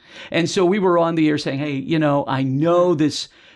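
The man has an ordinary speaking voice, pitched fairly high, with lively intonation. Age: 60s. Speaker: TV meteorologist. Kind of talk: casual interview.

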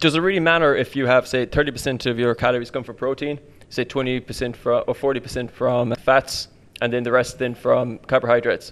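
Speaking with an Irish accent, a man keeps a medium pitch, fairly even intonation and a moderate pace. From Ireland. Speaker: personal trainer. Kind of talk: casual chat. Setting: studio.

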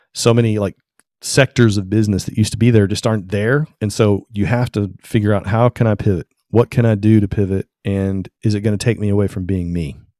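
A man's fairly low, dark and mellow voice with a Southern US accent, fairly even intonation and a fairly quick pace, in a very clean, dry, close recording with a silent background and no echo. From Tennessee. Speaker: photographer. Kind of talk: interview.

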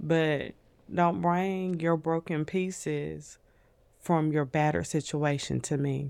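A Southern US accent with fairly even intonation on a very clean recording with a silent background. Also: woman. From New Orleans, Louisiana, raised in Nashville. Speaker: podcast guest sharing abuse story. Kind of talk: casual chat.

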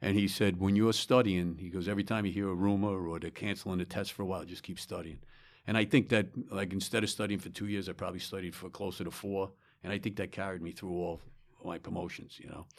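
A man with a New York accent, very deep and low in pitch, talking at a very fast pace with fairly even intonation. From New York, Long Island. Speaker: retired fire chief. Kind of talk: interview. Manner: halting.

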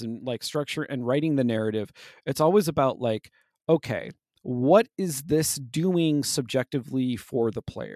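A man with an unremarkable speaking voice talks at a moderate pace. The recording is very clean, with a silent background, and the sound is dry and close with no echo. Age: 40s. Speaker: game design podcast host. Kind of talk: casual chat.

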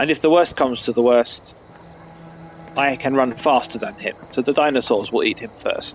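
Noticeable background noise behind a man's fairly high voice, with ordinary pitch variation at a moderate pace. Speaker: tabletop role-playing game player. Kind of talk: casual chat.

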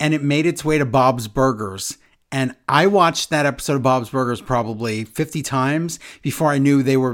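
Someone reads in an unforced voice.

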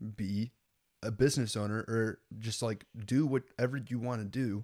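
A man speaks in a normal speaking voice with an American accent, at a medium pitch. His intonation stays fairly even, and the recording is very clean with a silent background. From Lincoln, US. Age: 20s. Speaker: young entrepreneur and YouTuber. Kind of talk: casual chat.

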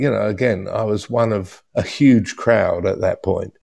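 In a New Zealand accent, a man speaks with a dark, mellow tone. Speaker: cinematographer. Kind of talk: interview.

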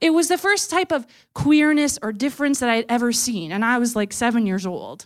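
A woman's high-pitched voice with lively intonation and a fairly quick pace, on a very clean recording with a silent background. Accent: Canadian. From Ontario, Canada (small town). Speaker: nonprofit development officer. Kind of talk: storytelling talk. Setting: stage with audience.

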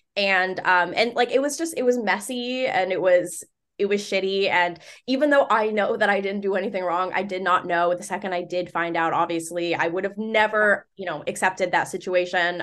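A woman's plain, everyday voice at medium pitch, fairly quick in pace with ordinary pitch variation, against a quiet background. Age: 30s. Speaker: social media creator. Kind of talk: casual chat.

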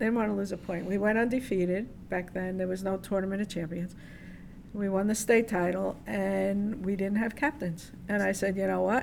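This is a plain, everyday voice with an American accent. It moves at a moderate pace with fairly even intonation. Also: woman, medium pitch for a woman. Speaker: volleyball coach. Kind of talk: interview conversation.

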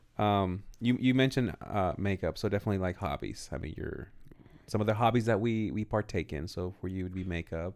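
A man with an American accent and an unremarkable speaking voice, fairly low in pitch, with ordinary pitch variation and a fairly quick pace. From California. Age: 30s. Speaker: podcast co-host. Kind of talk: casual chat.

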